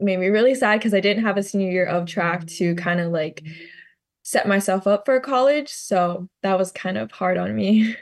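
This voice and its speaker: Speaking at a moderate pace, a woman talks with a Hawaiian accent. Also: medium pitch for a woman, ordinary pitch variation. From Hawaii, Maui. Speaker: college track athlete. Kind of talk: interview.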